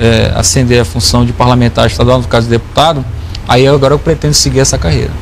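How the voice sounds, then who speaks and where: Over noticeable background noise, a man talks at a very fast pace with lively intonation, medium pitch and very even loudness. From Brazil, Porto Velho, Rondônia. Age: 30s. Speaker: state legislator. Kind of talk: TV interview. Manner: halting.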